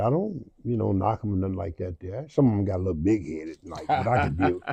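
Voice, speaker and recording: The voice is somewhat breathy with a dark, mellow tone, moving at a fairly quick pace against a quiet background. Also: man. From Milwaukee, US Midwest. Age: 70s. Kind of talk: interview. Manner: halting, repetitive.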